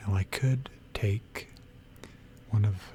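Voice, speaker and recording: Relaxed tone with music in the background. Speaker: ASMR gaming content creator. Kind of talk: ASMR gaming sleep aid, soft-spoken narration of a game tour. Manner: soft-spoken, relaxed.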